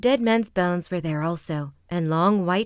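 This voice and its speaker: A woman with an unremarkable speaking voice talks at a moderate pace in a fairly low pitch with lively intonation, on a very clean recording with a silent background. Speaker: voice actress. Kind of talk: sleep story.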